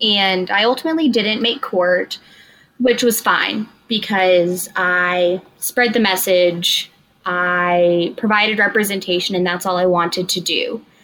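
A woman with an American accent speaks in a normal speaking voice at a medium pitch, with ordinary pitch variation. Her pace is fairly slow. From Texas (Iowa Park, small town). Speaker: law student. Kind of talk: interview.

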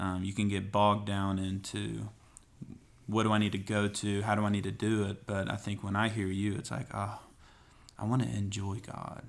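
In a Southern US accent, a man talks at a moderate pace with a fairly low pitch and monotone, flat intonation. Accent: Southern American. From East Tennessee. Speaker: pastor. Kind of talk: podcast interview.

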